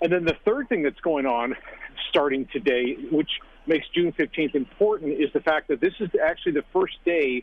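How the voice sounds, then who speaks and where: At a moderate pace, a man talks in a fairly high pitch with an unremarkable speaking voice. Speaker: sports analyst. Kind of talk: radio interview about sports.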